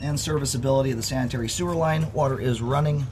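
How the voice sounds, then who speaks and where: Noticeable background noise and audible room echo surround a man talking at a very fast pace. His pitch is medium, with ordinary variation. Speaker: sewer inspection technician. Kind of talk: narrated inspection video. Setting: on site at a house, outdoors.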